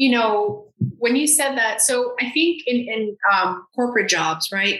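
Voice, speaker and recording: A woman with a normal speaking voice, fairly high in pitch, with ordinary pitch variation and an American accent. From Miami, Florida. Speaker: marketing agency founder. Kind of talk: casual interview chat.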